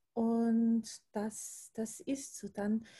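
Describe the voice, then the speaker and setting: A woman's fairly high, somewhat breathy voice with a dark, mellow tone, in an Austrian accent. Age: 40s. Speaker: primary school teacher and energy worker. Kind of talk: casual chat.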